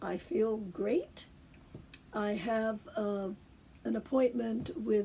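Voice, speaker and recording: A woman speaks at a very slow pace. Her medium-pitched voice is somewhat breathy. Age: 70s. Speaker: cancer patient vlogger. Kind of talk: personal video talk. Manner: halting, many fillers.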